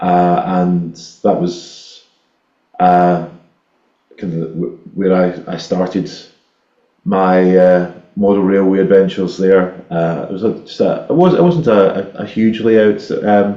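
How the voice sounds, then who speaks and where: A man with a Scottish accent speaks at a very slow pace with long, frequent pauses and fairly even intonation. His very deep, low voice has a dark, mellow tone, and there is audible room echo. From Scotland, Ayrshire. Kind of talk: casual chat. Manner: halting, many repetitions.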